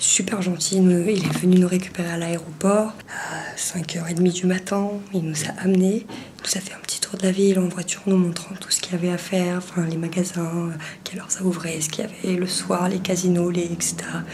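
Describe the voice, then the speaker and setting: A quiet, flat, monotone voice at a fairly quick pace, with big swings in loudness, noticeable background noise and audible room echo. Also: woman, fairly low pitch for a woman. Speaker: travel vlogger. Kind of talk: vlog narration. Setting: indoors in apartment. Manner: hushed, keeping quiet.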